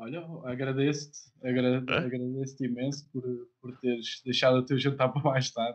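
A man at medium pitch, moderate pace, with a monotone, flat intonation. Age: 20s. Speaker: podcast host. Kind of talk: casual interview. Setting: live stream video call.

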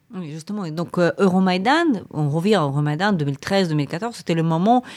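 A woman at a moderate pace in a plain, everyday voice. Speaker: podcast host, academic and journalist. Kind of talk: interview conversation.

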